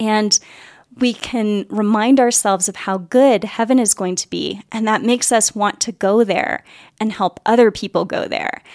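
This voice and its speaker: In an unremarkable speaking voice, a woman with a fairly high pitch and fairly even intonation speaks at a fairly slow pace, the sound dry and close with no echo in a very clean recording over a silent background. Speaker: podcast host. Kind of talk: casual interview chat.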